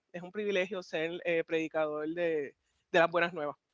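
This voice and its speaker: In a Puerto Rican accent, a woman talks at a fairly quick pace with a dry, close sound and no echo. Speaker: pastor. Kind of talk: interview. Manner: fast; direct.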